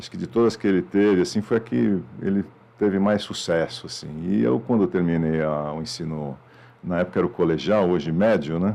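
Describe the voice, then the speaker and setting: Very deep and low in pitch, a man talks at a fairly quick pace with ordinary pitch variation. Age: 50s. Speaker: media executive. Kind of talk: podcast interview. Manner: casual, frequent fillers.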